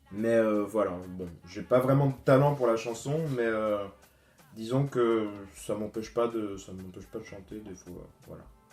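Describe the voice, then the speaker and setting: With music in the background, a man of medium pitch speaks at a fairly slow pace, his loudness swinging widely. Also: ordinary pitch variation. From Guadeloupe. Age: 20s. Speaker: student youtuber. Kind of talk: casual Q&A vlog. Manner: hesitant, many fillers.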